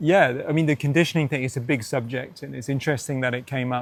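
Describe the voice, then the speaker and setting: A very fast man's voice at medium pitch, with fairly even intonation and a British accent. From UK. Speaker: entrepreneur and coach. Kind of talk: casual interview conversation.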